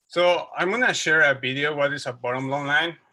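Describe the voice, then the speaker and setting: In a Mexican accent, a man speaks with a bright, sharp tone, a fairly high pitch and fairly even intonation. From Mexico City. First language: Spanish. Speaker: wildlife researcher. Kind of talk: lecture. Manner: halting.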